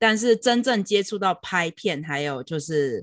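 Speech unfolds fairly slowly. The background is silent on this very clean recording. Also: woman. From Taiwan. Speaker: film director and video editor. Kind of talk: interview. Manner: code-switching with English words.

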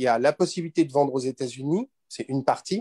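A man speaks at a medium pitch with a dark, mellow tone and lively intonation. The recording is a dry, close sound with no echo. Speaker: expat parent, participant. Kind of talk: live webinar Q&A.

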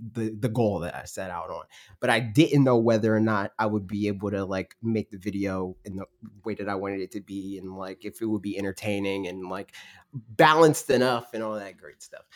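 An ordinary speaking voice from a man, fairly low in pitch and at a fairly quick pace. His loudness swings widely on a very clean recording with a silent background. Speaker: YouTube gaming channel host. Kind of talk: casual chat on a livestream podcast. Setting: livestream.

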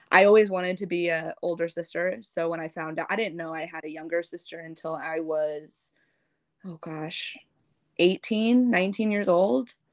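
A woman with an American accent uses a normal speaking voice at a fairly low pitch and a moderate pace, with ordinary pitch variation. Her loudness swings widely, and the recording is very clean with a silent background. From US Midwest, St. Louis. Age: 20s. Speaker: adoptee sharing her story. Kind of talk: casual interview.

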